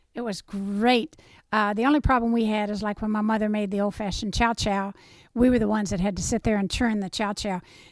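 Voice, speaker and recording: Here a woman with an Appalachian accent talks at a fairly quick pace, fairly high in pitch with fairly even intonation. The recording is very clean, the background silent. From southern West Virginia. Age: 70s. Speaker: interviewee recounting family history. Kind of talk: oral history interview.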